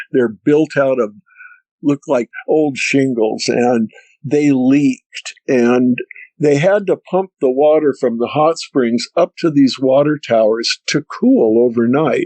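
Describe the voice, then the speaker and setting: A man's fairly high voice with an American accent, at a very slow pace, with ordinary pitch variation and very even loudness. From US Northwest, Seattle. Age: 70s. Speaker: eyewitness storyteller. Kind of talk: testimony.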